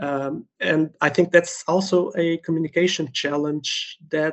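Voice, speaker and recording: A man's fairly high voice in a Portuguese accent, fairly even in intonation. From Portugal. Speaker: medical doctor, event participant. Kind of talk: interview.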